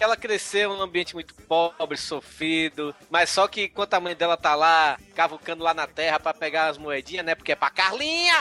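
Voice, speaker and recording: At a moderate pace, a man speaks with a bright, sharp tone and high pitch, the sound dry and close with no echo. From Brazil, Bahia (Salvador). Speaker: podcaster guest. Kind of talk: casual chat. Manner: animated.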